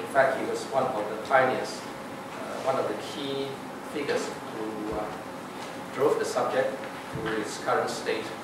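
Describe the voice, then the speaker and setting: Speech comes at a fairly slow pace with audible room echo and loud background noise. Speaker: institute director. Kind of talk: formal introduction. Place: hall.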